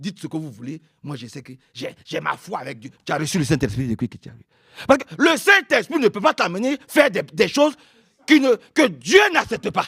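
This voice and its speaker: A man's high, bright, sharp voice swings very widely in pitch and shifts a lot in loudness. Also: moderate pace, dry, close sound with no echo. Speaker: preacher. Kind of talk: sermon.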